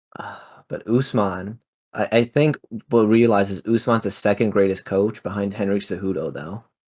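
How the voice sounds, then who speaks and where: With an ordinary speaking voice, a man talks at a moderate pace and a fairly low pitch, his intonation fairly even and his loudness swinging widely. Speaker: MMA podcast co-host. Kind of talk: casual chat.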